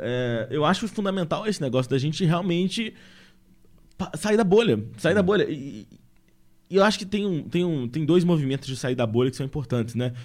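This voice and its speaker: At a moderate pace, a man speaks in a fairly high pitch with very wide pitch swings. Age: 20s. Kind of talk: casual podcast conversation. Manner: hesitant, with many fillers.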